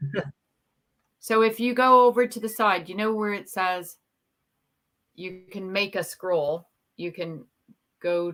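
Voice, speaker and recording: Speaking with a strong Canadian accent, a woman goes at a fairly slow pace with long, frequent pauses. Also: medium pitch for a woman, ordinary pitch variation. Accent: Canadian, still strong. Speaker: YouTuber guest on live stream. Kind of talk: casual chat.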